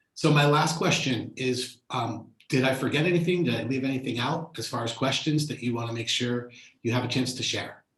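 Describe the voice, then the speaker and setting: This man talks at a fairly quick pace with hardly any pauses, in a normal speaking voice. His pitch is medium, with ordinary variation. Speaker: interview host. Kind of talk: interview questions.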